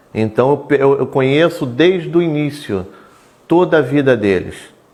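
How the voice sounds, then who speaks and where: Noticeable background noise sits behind the speech. A man talks at a fairly slow pace in a fairly high pitch. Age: 60s. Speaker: local politician. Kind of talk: interview.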